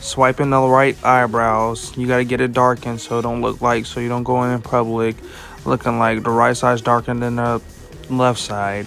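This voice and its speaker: Over music in the background, a man with a medium pitch speaks at a moderate pace. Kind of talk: comedic voice-over of a makeup tutorial. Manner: playful, joking.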